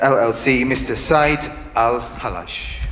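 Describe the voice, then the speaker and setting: Male speech marked by audible room echo, noticeable background noise behind it. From Britain. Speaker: event host. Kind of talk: event presenting.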